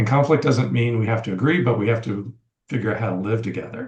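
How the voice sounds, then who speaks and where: American accent, normal pitch movement, somewhat breathy. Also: man. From US South. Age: 60s. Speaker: podcast guest. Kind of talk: casual chat.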